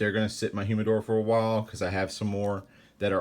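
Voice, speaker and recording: Someone with a Louisiana accent talks at a very fast pace in a flat monotone. The recording is very clean with a silent background. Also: man. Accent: Louisiana Southern US. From Central Louisiana. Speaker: cigar reviewer. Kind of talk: casual unboxing monologue. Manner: casual, with many fillers and self-corrections.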